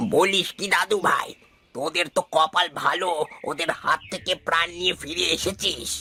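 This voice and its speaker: A man uses a cartoonish character voice pitched high. He goes at a moderate pace, and the sound is dry and close with no echo. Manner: warm, grave.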